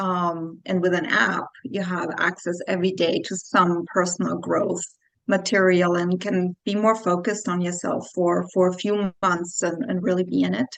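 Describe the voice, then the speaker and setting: A woman with a slight Austrian accent speaks at medium pitch and a moderate pace, keeping her intonation fairly even. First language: German. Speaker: clinical psychologist. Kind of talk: interview.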